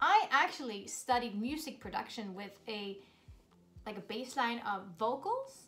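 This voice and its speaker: At a moderate pace, a woman speaks in a high pitch with lively intonation and an upbeat, animated tone. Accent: Swedish. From Sweden (Borås). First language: Swedish. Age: 30s. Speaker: vlogger. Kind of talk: casual Q&A vlog.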